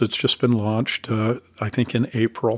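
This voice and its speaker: In a dry, close recording with no echo, a man with an American accent speaks in a monotone, flat intonation. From Utah, Salt Lake City. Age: 60s. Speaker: author and church leader. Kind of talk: interview. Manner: hesitant, many fillers.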